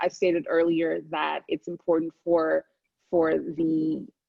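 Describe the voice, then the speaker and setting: A woman with an American accent speaks at a very slow pace. Her pitch is fairly low. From US, born in Nigeria. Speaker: author and mental health advocate. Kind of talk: moderated conversation. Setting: video call. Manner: halting.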